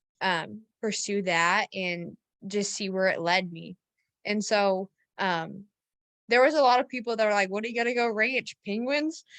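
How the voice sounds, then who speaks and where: A woman's ordinary speaking voice at medium pitch, with ordinary pitch variation, a moderate pace and a dry, close sound with no echo. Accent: American. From rural Missouri, US Midwest. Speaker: rancher and marketing consultant. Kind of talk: interview storytelling.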